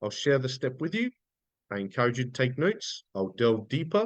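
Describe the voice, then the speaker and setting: At a fairly quick pace, a man with an Australian accent speaks at medium pitch, his voice making very wide pitch swings. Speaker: business coach. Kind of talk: live webinar training. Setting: livestream. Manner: fast; intense.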